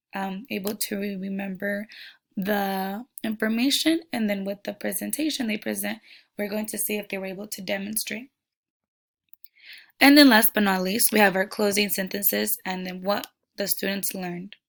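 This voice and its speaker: Medium-pitched female speech in a Spanish accent, fairly even in intonation but with big swings in loudness, at a moderate pace, on a very clean recording with a silent background. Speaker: education student. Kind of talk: class presentation. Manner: halting.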